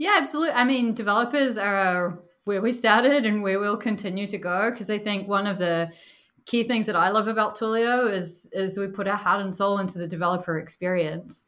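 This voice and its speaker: A woman with a New Zealand accent, medium pitch, ordinary pitch variation and a fairly quick pace. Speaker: product marketing director. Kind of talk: casual interview chat. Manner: animated, laughs often.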